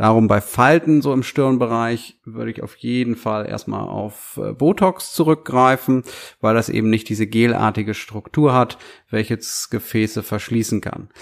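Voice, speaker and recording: At a fairly slow pace, a man speaks at medium pitch with ordinary pitch variation in a very clean recording with a silent background. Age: 30s. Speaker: aesthetic doctor. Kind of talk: podcast Q&A monologue. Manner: hesitant fillers.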